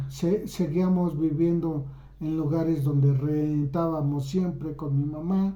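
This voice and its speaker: With audible room echo around him, a man speaks in a dark, mellow tone at a fairly high pitch. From Mexico. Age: 60s. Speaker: YouTuber. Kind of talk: personal storytelling. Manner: halting.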